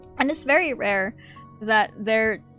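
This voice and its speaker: Music in the background behind a woman's moderately paced speech, its pitch varying in an ordinary way. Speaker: streamer. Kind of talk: casual live-stream commentary.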